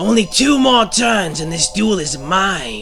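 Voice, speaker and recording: Doing a cartoonish character voice, a man speaks at a high pitch and a moderate pace over clear background noise. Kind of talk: anime fan dub. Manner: menacing, taunting.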